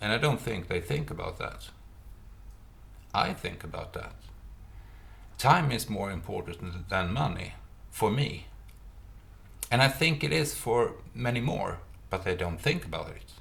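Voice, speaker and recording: Speech comes at a fairly slow pace with long, frequent pauses and very wide pitch swings, in a Swedish accent with vocal fry. Audible room echo surrounds the voice. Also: man, medium pitch for a man. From Sweden. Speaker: retired private investor. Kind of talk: monologue vlog. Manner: halting, many fillers.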